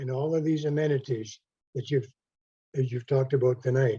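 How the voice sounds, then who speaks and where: Somewhat breathy, a man speaks with a fairly high pitch and a dark, mellow tone. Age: 80s+. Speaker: retired resident asking a question. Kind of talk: public question at an online meeting. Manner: halting.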